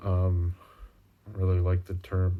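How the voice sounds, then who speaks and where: A man's very deep, low voice comes through in a dark, mellow tone that is somewhat breathy. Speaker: video journal vlogger. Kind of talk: personal video diary. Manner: halting, many fillers.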